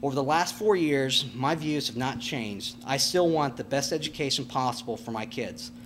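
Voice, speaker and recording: A man with an American accent speaks at a medium pitch, with ordinary pitch variation. He barely pauses at all. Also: moderate pace. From Nebraska, US Midwest. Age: 40s. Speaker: farmer and school board candidate. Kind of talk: candidate forum speech. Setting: public candidate panel. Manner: halting.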